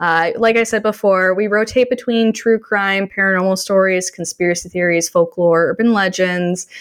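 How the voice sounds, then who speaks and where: With a Canadian accent and a plain, everyday voice, a woman speaks at medium pitch and a moderate pace, with fairly even intonation, hardly any pauses and a quiet background. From Canada. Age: 20s. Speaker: podcast host. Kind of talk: casual chat.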